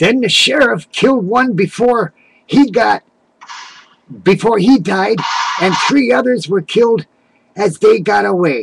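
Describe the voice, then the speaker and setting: Lively in intonation, the speaker talks at a fairly slow pace with long, frequent pauses. The sound is dry and close with no echo. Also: man, high pitch for a man. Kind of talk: folksy tall tale. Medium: solo performance. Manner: rambling, halting, self-correcting.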